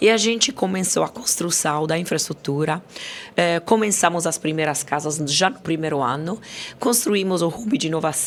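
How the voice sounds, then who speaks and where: A woman with an Italian accent, fairly low in pitch, lively in intonation, at a moderate pace. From Italy. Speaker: company CEO. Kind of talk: podcast interview.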